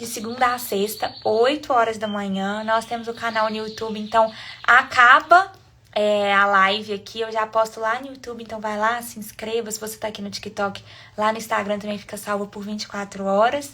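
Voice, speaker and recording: A woman with a Minas Gerais accent speaks at a fairly high pitch and a moderate pace. Her loudness swings widely. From Brazil, Minas Gerais (Sete Lagoas). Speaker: online devotional leader. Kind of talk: live-stream devotional, casual wrap-up. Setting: live stream.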